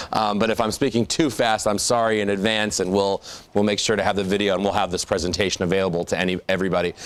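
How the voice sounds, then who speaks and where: A man talking very fast at a fairly low pitch, with fairly even intonation and very even loudness. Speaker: drug policy speaker and author. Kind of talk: lecture.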